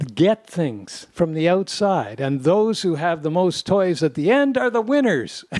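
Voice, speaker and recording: Dark, mellow tones from a man with a Canadian accent, fairly slow, in a dry, close sound with no echo. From Canada, Toronto. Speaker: podcast co-host, former lawyer and judge. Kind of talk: casual conversation.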